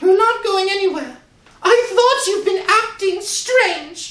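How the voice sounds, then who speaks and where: With a slight echo, a female-sounding put-on character voice speaks at an extremely high pitch. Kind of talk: radio drama performance.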